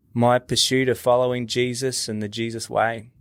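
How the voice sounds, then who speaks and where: A moderate pace with an Australian accent. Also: man. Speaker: podcast host. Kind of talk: interview. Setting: video call.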